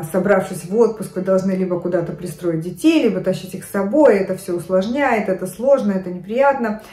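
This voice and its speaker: Audible room echo surrounds a woman who talks at a fairly quick pace with hardly any pauses and ordinary pitch variation. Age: 50s. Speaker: fashion and lifestyle vlogger. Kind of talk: casual talk to camera. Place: home room. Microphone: phone near.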